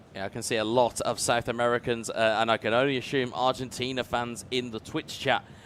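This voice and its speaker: A man with a British accent at a fairly quick pace. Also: medium pitch for a man. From UK. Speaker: esports commentator. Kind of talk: live commentary. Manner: animated.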